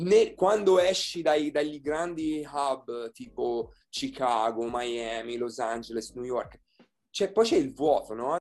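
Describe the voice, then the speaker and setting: Speaking at a very slow pace, a man uses lively intonation in a fairly high voice. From Tuscany, Florence hills. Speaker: localisation editor. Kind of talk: interview. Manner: halting, many repetitions.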